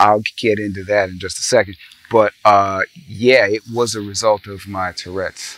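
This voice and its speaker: At a moderate pace, the voice holds a monotone, flat intonation while loudness swings widely, with noticeable background noise behind it. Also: man, fairly low pitch for a man. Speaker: spoken word artist and musician. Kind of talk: interview. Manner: halting.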